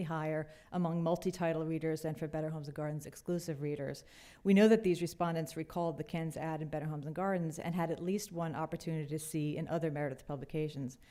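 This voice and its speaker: On a very clean recording with a silent background, a woman talks at a very fast pace. Her fairly low voice has a dark, mellow tone and fairly even intonation. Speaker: research presenter. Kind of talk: conference presentation.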